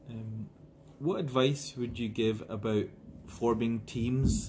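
A man speaks slowly at a medium pitch, his tone slightly mellow. His intonation stays fairly even.

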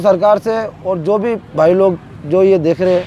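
Light background noise sits behind a man's voice. The sound is dry, without any echo. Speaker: interviewee. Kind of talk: interview answer. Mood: weary, discouraged about his trade. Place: tent. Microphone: lapel.

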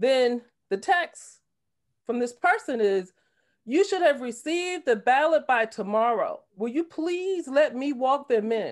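With a New Jersey accent, a woman speaks fairly slowly in a high voice with very wide pitch swings over a quiet background. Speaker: political candidate. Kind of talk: discussion comment. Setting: video call. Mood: troubled, earnest. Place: home room. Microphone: video call.

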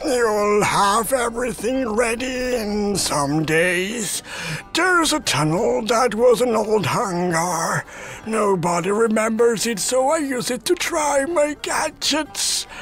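In a cartoonish character voice, a man speaks at an extremely high pitch and a very slow pace with lively intonation, over clear background noise.

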